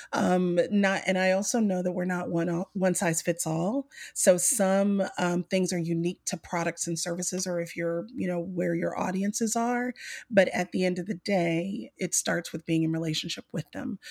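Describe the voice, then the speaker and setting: A woman with an Alabama accent, medium pitch, fairly even intonation and a moderate pace, in a dry, close sound with no echo. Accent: Southern US (Alabama). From US South, Mobile, Alabama. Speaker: business consultant and coach. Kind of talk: casual interview.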